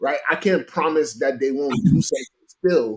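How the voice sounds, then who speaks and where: With an animated tone, a man talks at a moderate pace in a fairly high pitch. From US, Haitian family. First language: Haitian Creole. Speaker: motivational speaker. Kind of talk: casual chat.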